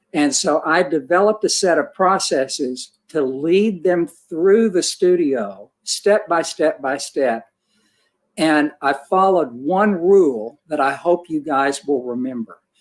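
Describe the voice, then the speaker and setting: A man talks at a fairly slow pace with a fairly high pitch and lively intonation. It is an unremarkable speaking voice. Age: 60s. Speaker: portrait photographer. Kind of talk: panel discussion.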